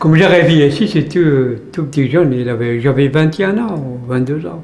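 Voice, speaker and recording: A man's fairly high-pitched voice with lively intonation, audible room echo and noticeable background noise. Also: moderate pace. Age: 60s. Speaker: retired immigrant worker, interviewee. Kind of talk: interview. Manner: halting.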